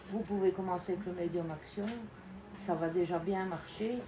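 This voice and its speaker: This woman's intonation stays fairly even as she talks fairly slowly, with noticeable background noise present. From Belgium. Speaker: acrylic pouring artist and YouTuber. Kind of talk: live demonstration to visitors. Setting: open day in her studio.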